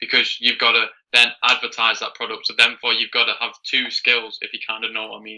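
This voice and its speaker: Speaking at a fairly quick pace with a British accent, a man shows big swings in loudness. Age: young (19). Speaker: beginner online seller. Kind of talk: coaching call.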